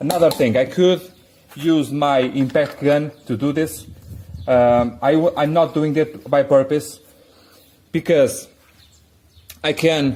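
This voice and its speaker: A man with a non-native accent speaks at a very slow pace. His pitch is fairly high and his intonation fairly even. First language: not English. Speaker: car repair youtuber. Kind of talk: tutorial. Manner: halting, many restarts.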